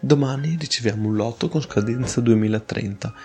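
This is a man's voice at medium pitch. His pitch variation is ordinary. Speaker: podcast host on logistics. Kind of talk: informal educational monologue. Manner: halting, stumbling over words; more natural, less read.

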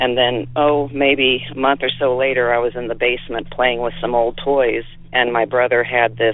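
A man with an American accent speaks at a moderate pace in an unremarkable speaking voice. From south central Illinois. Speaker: caller. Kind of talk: recorded voicemail story.

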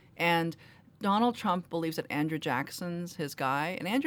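With a New York accent, a woman speaks at a moderate pace in a fairly low pitch, her intonation lively. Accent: New York American. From US, Queens New York. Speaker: novelist. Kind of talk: interview. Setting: studio. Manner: formal.

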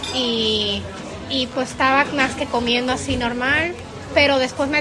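Moderate-paced speech from a woman over background music. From Puerto Rico, raised from age eight after early childhood in Mexico. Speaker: actress. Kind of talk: interview. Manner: halting.

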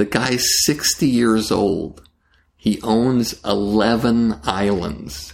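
His voice is fairly low in pitch. The man speaks at a very slow pace. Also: lively intonation. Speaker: talent manager and producer. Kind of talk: interview conversation. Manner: deliberate pauses in delivery.

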